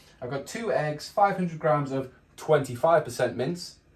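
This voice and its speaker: His voice is somewhat breathy. The man shows ordinary pitch variation. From northeast England (Geordie). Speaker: cooking video creator. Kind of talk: casual cooking tutorial. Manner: hesitant, with frequent fillers.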